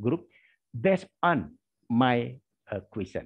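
Over a quiet background, a man with an Indonesian accent talks at a very slow pace, his pitch swinging very widely. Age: 50s. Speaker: history lecturer. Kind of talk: lecture. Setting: video call. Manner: halting. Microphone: video call.

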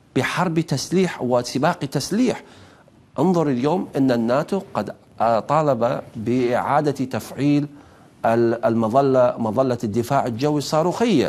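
A man talks at a very slow pace at a medium pitch. His loudness stays very even, with ordinary pitch variation. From Iraq. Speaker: journalist and political analyst; journalist, political analyst. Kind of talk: televised panel debate. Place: studio. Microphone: lapel.

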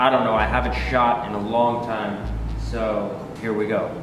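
Background music and audible room echo. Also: man. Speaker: artist vlogger. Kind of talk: casual vlog chat. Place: workshop.

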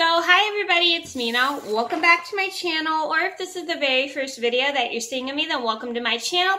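A woman talks at a very fast pace in a raised, projected voice. The background is quiet. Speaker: vlogger. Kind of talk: casual vlog chat. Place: home room. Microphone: phone near.

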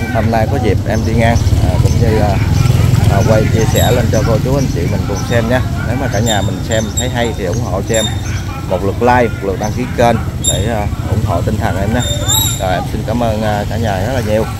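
A man talks fairly quickly through loud background noise, the sound dry with no echo. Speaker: vlogger filming a market tour. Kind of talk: casual vlog narration. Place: market. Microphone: phone near.

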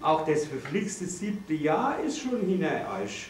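A man talks at a very slow pace. The room echo is audible, with light background noise. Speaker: father of the groom. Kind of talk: wedding speech. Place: hall. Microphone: camera far.

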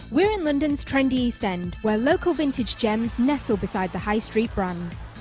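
Music plays in the background as a woman speaks at a moderate pace. Her fairly high pitch makes very wide swings. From Northern England. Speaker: fashion presenter. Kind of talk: TV presenter link.

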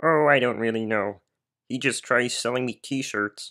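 A put-on character voice moves at a moderate pace. The recording is very clean, with a silent background. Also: man, medium pitch for a man. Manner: gentle, friendly.

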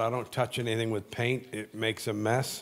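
Moderate-paced speech from a man. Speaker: guest preacher. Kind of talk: sermon. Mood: warm, humorous. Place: church. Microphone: handheld.

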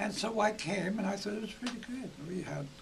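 With an American accent, a man speaks at a moderate pace against noticeable background noise. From Iowa. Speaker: retired gymnastics coach. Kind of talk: interview answer. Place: home room.

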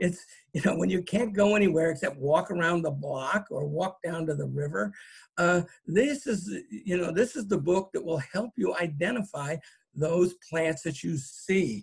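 Over a quiet background, a man with a high pitch speaks at a moderate pace with lively intonation. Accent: American. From California, Marin County; California. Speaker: botanist and author. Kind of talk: lecture. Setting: video call.

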